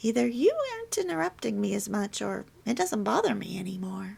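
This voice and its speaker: Putting on a character voice, a woman speaks at a fairly quick pace. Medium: read story.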